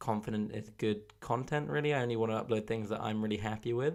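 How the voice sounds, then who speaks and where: A man speaks with a southern English accent. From southern England, Oxfordshire. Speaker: podcast host. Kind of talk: casual monologue. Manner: hesitant, many fillers.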